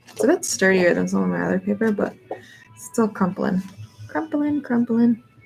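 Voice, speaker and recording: A woman mumbling at a moderate pace, music in the background. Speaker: artist live-streaming painting. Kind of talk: casual live-stream commentary while painting. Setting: live stream. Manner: mumbles under breath.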